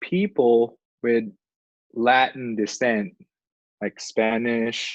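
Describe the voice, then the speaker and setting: Recorded with a dry, close sound and no echo, a man speaks at a very slow pace. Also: medium pitch for a man, ordinary pitch variation. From Filipino heritage. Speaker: podcast co-host. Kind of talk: casual chat.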